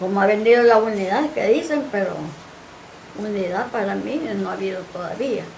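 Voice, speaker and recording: With a Honduran accent, a woman talks at a moderate pace and medium pitch, with ordinary pitch variation, audible room echo and noticeable background noise. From Honduras, El Progreso. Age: 80s+. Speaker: retired teacher and activist. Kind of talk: TV interview.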